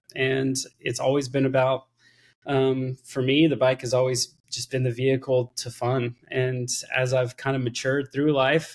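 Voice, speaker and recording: An American accent at a moderate pace, monotone and flat, in a dry, close sound with no echo. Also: man. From Texas, Austin. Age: 30s. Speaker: filmmaker. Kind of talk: casual chat.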